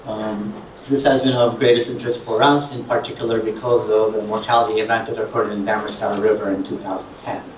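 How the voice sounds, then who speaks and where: The speech moves at a very fast pace with fairly even intonation, with audible room echo and noticeable background noise. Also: man, medium pitch for a man. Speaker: scientist. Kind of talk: conference presentation. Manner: loud; hesitant with fillers.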